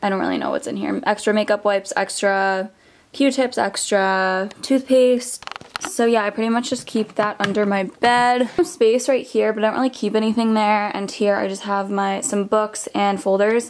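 Light background noise sits behind a woman talking at a moderate pace with ordinary pitch variation. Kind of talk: casual vlog chat. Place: home room. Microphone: phone near.

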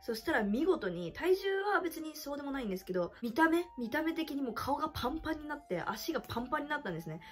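A woman speaks at a very fast pace with faint music in the background. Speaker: vlogger. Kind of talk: casual vlog chat. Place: home room. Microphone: phone near.

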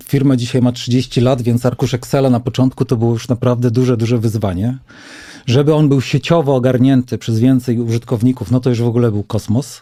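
This man speaks at a very fast pace in a medium pitch, with a dark, mellow tone, very even loudness and fairly even intonation. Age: 50s. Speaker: company managing director. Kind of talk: interview. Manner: halting.

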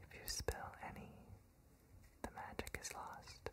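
Whispering, a man speaks at a fairly slow pace. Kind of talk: soft-spoken ASMR roleplay. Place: home room.

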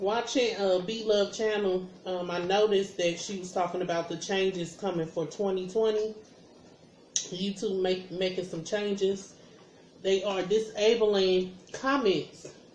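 Audible room echo and light background noise surround a woman's voice. She speaks at a fairly slow pace with fairly even intonation. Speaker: mukbang vlogger. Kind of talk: casual vlog chat. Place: home room. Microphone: phone near.

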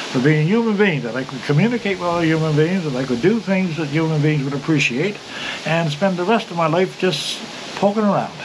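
In a Newfoundland accent, a man talks at a very fast pace and a fairly high pitch. His pitch variation is ordinary, and noticeable background noise sits behind him. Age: 80s+. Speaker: retired outdoor TV host and producer. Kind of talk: casual conversation, storytelling. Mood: reflective, storytelling. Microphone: camera far.

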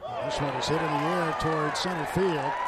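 Over noticeable background noise, a man talks in an animated tone. His pace is fairly quick. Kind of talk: live sports commentary (baseball play-by-play). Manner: animated, fast play-by-play delivery.

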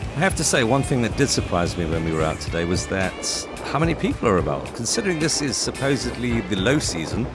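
A man speaks very fast with hardly any pauses. The sound is dry with no echo, with clear music in the background. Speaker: travel vlogger. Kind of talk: casual vlog commentary. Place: motorbike.

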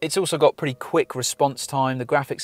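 A man's voice with ordinary pitch variation comes through with a dry sound and no echo. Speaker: car reviewer. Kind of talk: review presentation. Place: car. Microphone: lapel.

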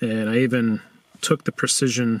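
The sound is dry with no echo. A man speaks at a fairly slow pace with monotone, flat intonation. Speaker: car vlogger. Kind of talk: casual vlog chat. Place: car. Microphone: phone near.

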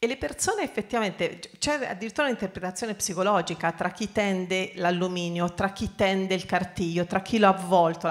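A woman speaks at a fairly quick pace with hardly any pauses. Her pitch variation is ordinary, and the background is quiet. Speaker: company archivist; speaker. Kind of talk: panel discussion. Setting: stage with audience. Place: hall. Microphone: handheld.

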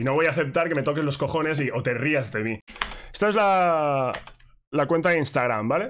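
Over light background noise, a man talks at a fairly quick pace with a fairly high pitch and ordinary pitch variation. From Spain. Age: 20s. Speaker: music YouTuber; streamer. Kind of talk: direct-to-camera rant. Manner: casual, repetitive fillers. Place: home room.

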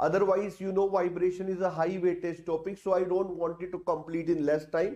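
Against a quiet background, a man with a high pitch and a dark, mellow tone speaks at a fairly quick pace in a monotone, flat intonation. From India. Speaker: online exam-prep teacher. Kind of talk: live online class. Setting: livestream. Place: studio.

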